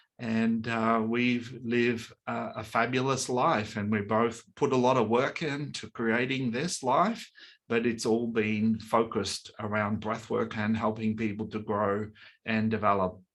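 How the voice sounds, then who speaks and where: Against a quiet background, a man with an Australian accent speaks at a fairly slow pace and medium pitch. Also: fairly even intonation. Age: 60s. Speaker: breathwork coach and workshop leader. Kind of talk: online workshop presentation. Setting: webinar.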